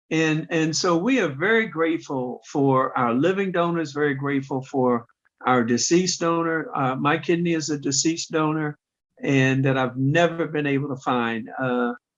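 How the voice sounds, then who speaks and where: A man with an unremarkable speaking voice, fairly high in pitch with ordinary variation, talks at a moderate pace with very even loudness. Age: 60s. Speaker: kidney transplant recipient, patient organization president. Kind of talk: podcast interview.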